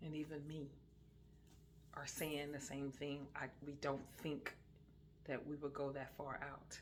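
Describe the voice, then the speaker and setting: At a fairly slow pace, a woman speaks in a very deep, low pitch with monotone, flat intonation and long, frequent pauses. Audible echo fills the room. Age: 60s. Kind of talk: casual religious talk. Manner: hesitant, many fillers.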